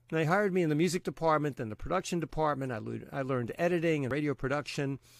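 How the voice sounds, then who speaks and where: This speaker talks in a Long Island accent. The sound is dry and close, with no echo. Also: man. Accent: Long Island New York. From Brooklyn, New York. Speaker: radio DJ. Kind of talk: casual interview conversation. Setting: home studio, remote recording.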